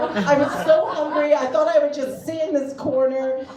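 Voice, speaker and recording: There is noticeable background noise. A woman speaks with an American accent. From United States. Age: middle-aged. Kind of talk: stand-up comedy storytelling. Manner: casual, chatty.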